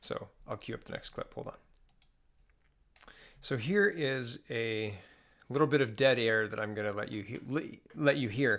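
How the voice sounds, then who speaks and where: A man speaks at a moderate pace and a medium pitch. He leaves long, frequent pauses. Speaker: political commentator. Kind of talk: casual political commentary to camera. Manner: quieter than usual.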